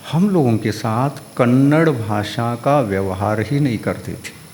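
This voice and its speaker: Noticeable background noise accompanies a man with a Kannada accent speaking at medium pitch with lively intonation. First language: Kannada (speaking Hindi). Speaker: Jain monk. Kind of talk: religious discourse.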